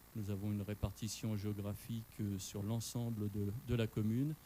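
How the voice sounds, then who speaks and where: This man speaks fairly slowly in a fairly low voice with a dark, mellow tone. His intonation is flat and monotone. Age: 50s. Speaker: municipal candidate, retired police commander. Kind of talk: political debate. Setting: radio studio with live audience.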